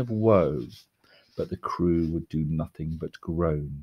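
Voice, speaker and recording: His tone is dark and mellow, yet playful. The man speaks at a fairly slow pace. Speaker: teacher reading poem. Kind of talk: literary poem reading, lockdown video. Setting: home video for school. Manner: measured, expressive storyteller, playful with rhyme. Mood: expressive storytelling. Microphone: webcam.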